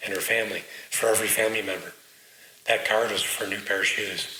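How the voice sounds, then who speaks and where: A man talks at a very fast pace. The recording has noticeable background noise and audible room echo. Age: 40s. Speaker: knife maker and military veteran. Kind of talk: casual interview chat.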